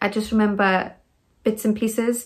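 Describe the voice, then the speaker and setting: In a quiet background, a woman talks at a moderate pace. Her intonation is fairly even. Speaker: vlogger telling a birth story. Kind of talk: casual vlog storytelling. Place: home room. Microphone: phone near.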